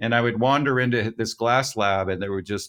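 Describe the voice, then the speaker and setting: Moderate pace and ordinary pitch variation in an American accent, on a very clean recording with a silent background. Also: man. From New York City. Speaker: architect and designer. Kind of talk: interview. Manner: halting.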